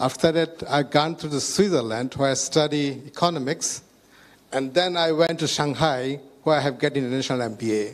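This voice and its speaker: A man with a Bangladeshi accent, fairly high pitch, fairly even intonation and a fairly quick pace. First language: Bengali. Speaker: health ministry IT chief, data scientist. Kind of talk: panel talk. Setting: stage with audience. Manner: halting.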